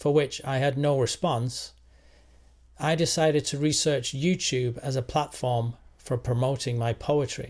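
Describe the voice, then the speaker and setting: A fairly high-pitched, somewhat breathy male voice at a fairly slow pace with fairly even intonation, on a very clean recording with a silent background. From England. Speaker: engineer and poet. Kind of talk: casual talk to camera.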